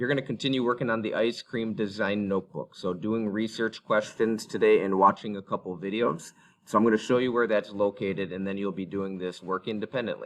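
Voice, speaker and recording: A man with an ordinary speaking voice, fairly low in pitch, at a fairly quick pace with hardly any pauses and fairly even intonation. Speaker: middle school teacher. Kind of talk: recorded class instructions.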